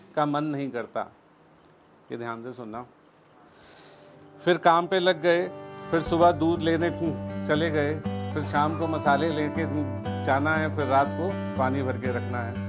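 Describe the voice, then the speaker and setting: Over music in the background, a man with a fairly high pitch speaks with lively intonation and long, frequent pauses. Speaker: spoken word poet. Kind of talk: spoken word poetry performance. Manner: emotional, heartfelt.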